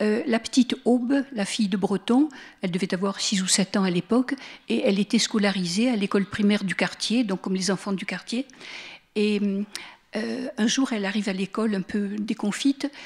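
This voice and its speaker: Speech comes at a moderate pace in a slight Marseille accent, somewhat breathy. The sound is dry and close, with no echo. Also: woman, medium pitch for a woman, ordinary pitch variation. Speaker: lecturer on Walter Benjamin. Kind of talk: public lecture. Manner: hesitant, with fillers.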